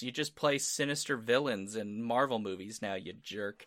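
This man's bright, sharp tone carries lively intonation as he speaks at a moderate pace. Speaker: podcast host. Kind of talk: casual chat.

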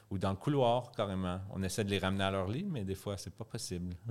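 A very clean recording with a silent background and ordinary pitch variation. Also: man. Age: 30s. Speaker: youth hostel owner. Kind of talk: casual chat.

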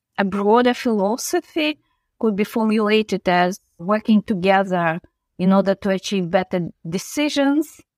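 A woman's medium-pitched, moderate-paced delivery, a normal speaking voice with ordinary pitch variation, dry and close with no echo on a very clean recording with a silent background. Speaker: professor, credit research centre director.

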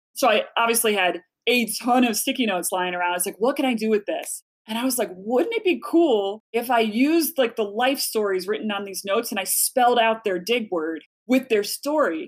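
At a fairly quick pace, a woman speaks in an ordinary speaking voice that is fairly high in pitch, with lively intonation. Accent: American. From Chicago. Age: 40s. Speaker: author and speaker. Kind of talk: casual interview chat.

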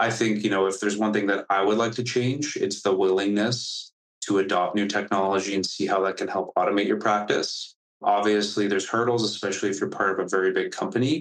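At a very fast pace, a man with a fairly low pitch speaks with fairly even intonation and very even loudness. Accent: Canadian. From Canada. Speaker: startup founder and CEO. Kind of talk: interview. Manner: casual, filler-heavy.

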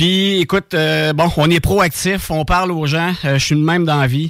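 At a fairly slow pace, a man with an ordinary speaking voice talks with ordinary pitch variation. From Quebec, Bellechasse region. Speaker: radio co-host. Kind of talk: casual radio chat. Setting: radio studio.

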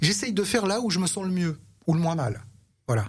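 Somewhat breathy tones from a man. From Paris region, France (Antony). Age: 60s. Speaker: podcast guest. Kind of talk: casual chat.

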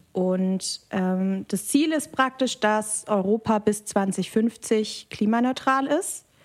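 The speech is very slow with hardly any pauses. Pitch variation is ordinary. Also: woman, fairly high pitch for a woman. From Germany, Biberach (Upper Swabia). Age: 20s. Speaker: political scientist. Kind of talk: interview. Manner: hesitant fillers.

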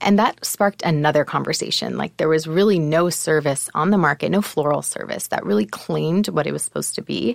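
A woman with a very deep, low pitch talks at a fairly quick pace, with vocal fry and hardly any pauses. Her intonation is lively. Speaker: entrepreneur guest, wife. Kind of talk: casual interview. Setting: studio.

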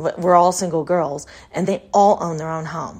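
A woman with an unremarkable speaking voice speaks in an American accent, fairly low in pitch with ordinary pitch variation. The recording is very clean, with a silent background. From Texas. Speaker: podcast host. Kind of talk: personal storytelling monologue. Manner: casual, conversational with fillers.

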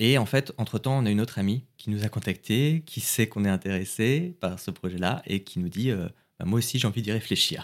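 At a fairly quick pace, a man with a plain, everyday voice speaks at medium pitch with ordinary pitch variation in a very clean recording over a silent background. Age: 40s. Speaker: father sharing family story. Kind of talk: personal testimony.

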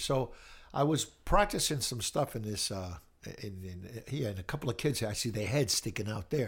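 A man speaks at a moderate pace in a somewhat breathy, medium-pitched voice with ordinary pitch variation, on a very clean recording with a silent background. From Brockton, Massachusetts, born in Italy. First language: Italian. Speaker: retired music teacher. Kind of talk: casual interview. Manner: halting, repeats words.

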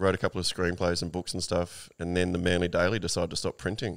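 In an Australian accent, a man speaks with a very deep, low pitch on a very clean recording with a silent background. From Sydney, Australia (inner west). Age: 40s. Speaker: magazine owner and writer. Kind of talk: casual interview chat.

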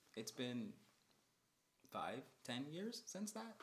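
This man's voice moves through very wide pitch swings. His pitch rises and falls a great deal. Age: 20s. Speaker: podcast co-host. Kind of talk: casual chat. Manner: animated.

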